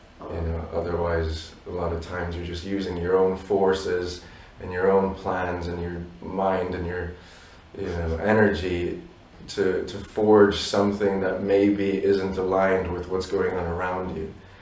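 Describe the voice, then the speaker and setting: In a room with audible echo and noticeable background noise, a man with a very deep, low voice speaks fairly slowly and monotonously, his loudness swinging widely. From Polish family abroad, not Poland. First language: Polish. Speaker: musician in a duo. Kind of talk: interview.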